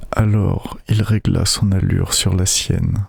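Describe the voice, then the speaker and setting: Whispering and soft-spoken, a man talks at a very slow pace over noticeable background noise. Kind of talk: audiobook reading. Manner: whispered, soft-spoken.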